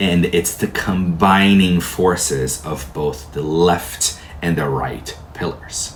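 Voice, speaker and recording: With a Portuguese accent, a man speaks at a very slow pace in a very deep, low pitch. Audible room echo surrounds his voice. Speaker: tarot teacher. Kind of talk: lecture.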